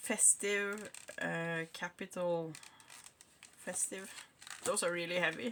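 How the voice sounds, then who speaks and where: There is noticeable background noise as a woman speaks with a Norwegian accent. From Norway. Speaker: craft hobbyist. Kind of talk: unboxing video. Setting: home craft room.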